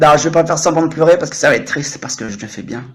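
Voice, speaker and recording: Fairly high in pitch for a man, his animated voice moves at a very fast pace. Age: 30s. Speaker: French tutor and livestreamer. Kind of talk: casual livestream chat. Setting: live stream.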